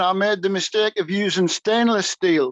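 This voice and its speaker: A man speaks at a high pitch and a moderate pace, with ordinary pitch variation. The sound is dry and close, with no echo. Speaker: rocket racer and builder. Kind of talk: casual interview. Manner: halting.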